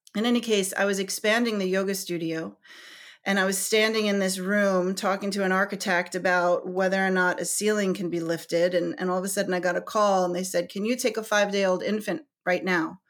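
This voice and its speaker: A woman's medium-pitched voice at a fairly quick pace, with fairly even intonation, on a very clean recording with a silent background. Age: 40s. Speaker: yoga teacher. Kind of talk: casual chat. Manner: halting.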